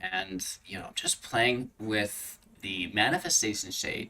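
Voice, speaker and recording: A man mumbles in a bright, sharp tone. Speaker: gaming YouTuber. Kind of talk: gameplay commentary. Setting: home recording with green screen. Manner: mumbling.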